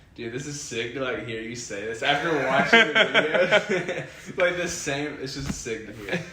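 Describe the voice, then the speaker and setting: A man with an American accent speaks at a moderate pace and fairly high pitch, with very wide pitch swings and big swings in loudness. Room echo and noticeable background noise are both audible. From US South, Alabama. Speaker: kendama player. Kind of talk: casual interview chat. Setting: in person at a kendama event.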